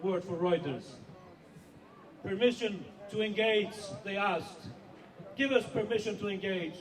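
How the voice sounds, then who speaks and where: A man's high-pitched voice with ordinary pitch variation at a moderate pace, with long, frequent pauses, audible room echo and noticeable background noise. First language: not English. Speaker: editor-in-chief of a whistleblowing organisation. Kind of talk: rally speech.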